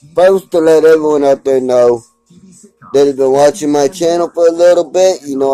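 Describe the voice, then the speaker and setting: With music in the background, a man with an American accent speaks at a fairly high pitch in a dry, close sound with no echo. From Texas. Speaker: YouTuber. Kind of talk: vlog rant. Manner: animated.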